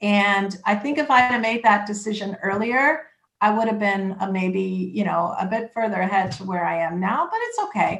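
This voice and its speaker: A woman with an unremarkable speaking voice, medium in pitch, with ordinary pitch variation, at a moderate pace and with hardly any pauses. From Canada (Toronto). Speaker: immigration lawyer. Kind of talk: interview.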